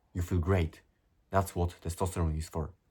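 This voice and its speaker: With a non-native accent, a man speaks at a moderate pace in a very deep, low, somewhat breathy voice. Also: very clean recording, silent background. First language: not English. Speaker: self-improvement youtuber. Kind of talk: motivational monologue reading from notes. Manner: animated.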